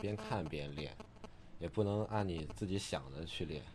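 Very deep, low male speech with typical pitch movement. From Jinan, Shandong, China. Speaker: sponsored skateboarder. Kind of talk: casual interview chat.

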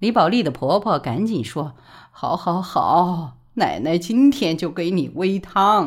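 The reading voice is unforced, and its pitch moves in an ordinary way.

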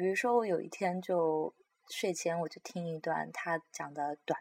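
At a moderate pace, a woman with a fairly low pitch and ordinary pitch variation speaks in a dry, close sound with no echo. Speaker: podcast host sharing opera and crosstalk recordings. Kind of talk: casual solo talk. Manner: halting, many fillers.

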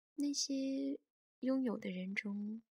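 Recorded with a dry, close sound and no echo, a woman's somewhat breathy voice shows ordinary pitch variation. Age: 20s. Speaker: podcast host. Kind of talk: reflective scripted narration.

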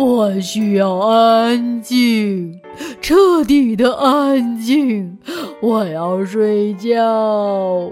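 A female-sounding, put-on character voice with a fairly high pitch speaks at a very slow pace over clear music in the background. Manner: groaning, shouting without energy.

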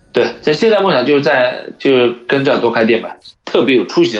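A man uses an ordinary speaking voice. His pace is moderate and his pitch variation ordinary. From China. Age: 30s. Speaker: sneaker shop owner. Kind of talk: casual chat.

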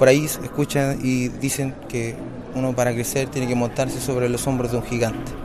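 With noticeable background noise and audible room echo, a man talks at a moderate pace and medium pitch in a monotone, flat intonation. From Chile, Valparaíso. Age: 30s. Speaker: bolero singer-songwriter. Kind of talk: interview. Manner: halting.

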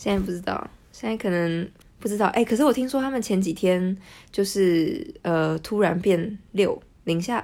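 On a very clean recording with a silent background, a woman with a dark, mellow tone speaks at a moderate pace with lively intonation. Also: medium pitch for a woman. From Taiwan. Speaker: social media editor and Russian translator. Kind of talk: casual interview.

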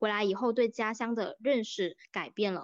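Against a quiet background, a woman with a plain, everyday voice speaks at a fairly high pitch and a moderate pace. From Jinjiang, Fujian, southern Fujian. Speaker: podcast host and university student. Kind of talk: casual conversation, podcast discussion.

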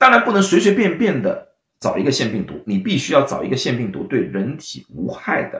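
The speaker is a man. His pace is moderate. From China, Shanghai. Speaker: clinical pharmacist and science video host. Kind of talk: livestream science lecture. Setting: livestream. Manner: hesitant, many fillers.

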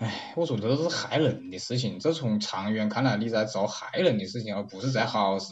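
A man with a Wuhan accent talks in a fairly low pitch with hardly any pauses. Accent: Wuhan-accented Mandarin. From Wuhan, China. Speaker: interviewee. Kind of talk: casual chat. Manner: animated.

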